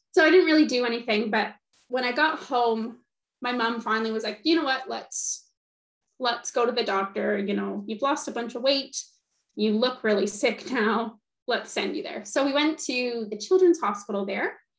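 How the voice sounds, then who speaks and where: A woman with a Canadian accent speaks at a moderate pace in a high voice with ordinary pitch variation. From Canada, Toronto area. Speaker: PhD student and guest speaker. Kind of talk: personal testimony talk.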